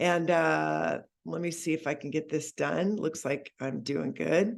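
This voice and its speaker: The tone is enthusiastic. Vocal fry runs through the voice. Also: woman. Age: 60s. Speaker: network marketing leader. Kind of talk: sales presentation on a call.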